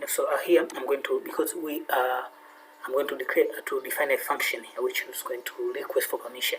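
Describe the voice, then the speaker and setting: A man talks at a fairly quick pace. His loudness swings widely. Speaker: programming tutor. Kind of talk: tutorial. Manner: fast; halting, many fillers.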